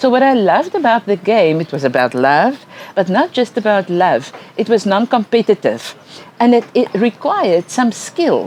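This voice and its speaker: Over noticeable background noise, a woman speaks at fairly high pitch and a moderate pace with very wide pitch swings. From South Africa. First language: Afrikaans. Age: old. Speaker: educational psychologist. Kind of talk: lecture.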